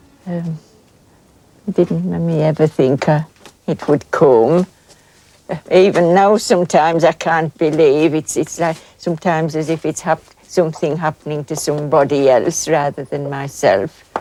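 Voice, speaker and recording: With a Yorkshire accent, a woman speaks at a moderate pace in a very deep, low pitch, her dark, mellow tone carried on a fairly even intonation. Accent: Yorkshire Dales. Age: 60s. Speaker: hill farmer. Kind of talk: documentary interview. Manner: halting.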